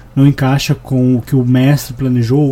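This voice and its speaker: A dark, mellow, somewhat breathy voice in a Curitiba accent at a moderate pace. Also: man. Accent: Curitiba accent, rolled R. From Curitiba, southern Brazil. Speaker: podcast host and game master. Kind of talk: casual chat.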